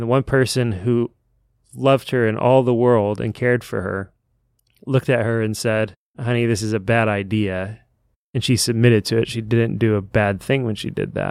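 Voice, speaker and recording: This is a plain, everyday voice from a man pitched in the middle range. He keeps a moderate speed, and his intonation stays fairly even. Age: 30s. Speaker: book podcast co-host. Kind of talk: casual chat.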